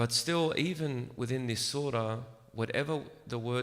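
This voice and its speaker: With ordinary pitch variation, the man talks at a fairly slow pace. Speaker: religious lecturer. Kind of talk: religious lecture. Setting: room with small audience, echo. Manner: soft-spoken.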